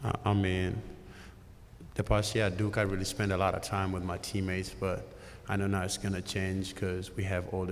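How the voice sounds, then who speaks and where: Audible room echo surrounds a man speaking at a moderate pace with a very deep, low pitch and monotone, flat intonation. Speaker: basketball rookie. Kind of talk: press conference.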